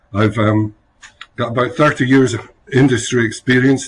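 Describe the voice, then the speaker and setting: A man with a Scottish accent speaks in a somewhat breathy voice with monotone, flat intonation. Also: quiet background. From Scotland, rural village. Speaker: chief scientific officer. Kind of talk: interview.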